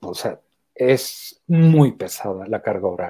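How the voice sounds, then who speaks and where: Against a quiet background, a man with a French accent speaks in a dark, mellow tone. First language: French (speaking Spanish). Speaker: theatre artist and academic; interviewee. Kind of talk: interview. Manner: halting, with restarts. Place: home room. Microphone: earbuds.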